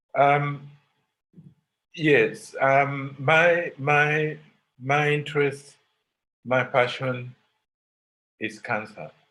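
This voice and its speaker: In a room with audible echo, a man speaks very slowly in a fairly high voice with a bright, sharp tone. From Uganda. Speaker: professor. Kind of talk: lecture. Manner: halting, many repetitions.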